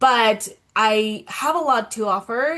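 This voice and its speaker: Very slow and bright, sharp in tone, a woman with a Spanish accent speaks at a fairly high pitch with lively intonation. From Colombia. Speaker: self-love coach. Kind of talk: interview, personal story.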